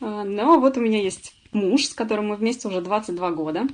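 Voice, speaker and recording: Lively intonation marks this woman's speech. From Russia, Samara. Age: 40s. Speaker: webinar presenter, former accountant. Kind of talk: webinar presentation. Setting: online webinar. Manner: many filler sounds.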